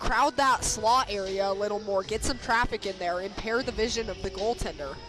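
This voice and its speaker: Over music in the background, a woman speaks at a fairly quick pace. Her pitch is fairly high and her intonation lively. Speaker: hockey play-by-play announcer. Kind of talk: live sports play-by-play commentary.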